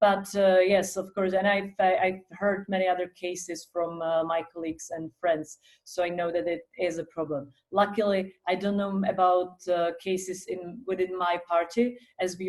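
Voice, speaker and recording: Here a woman speaks at a medium pitch and moderate pace. Her intonation is monotone and flat. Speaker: politician. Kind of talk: panel discussion. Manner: loud.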